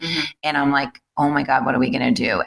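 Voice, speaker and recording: A woman's very deep, low voice at a fairly quick pace, animated in tone. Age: 30s. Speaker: fitness studio owner. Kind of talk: casual chat.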